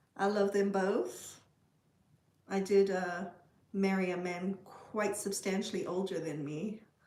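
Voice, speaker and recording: In a dark, mellow tone and medium pitch, a woman talks at a fairly slow pace in a flat monotone, with long, frequent pauses and audible room echo. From South Africa. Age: 40s. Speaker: livestreamer. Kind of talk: casual chat. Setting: livestream.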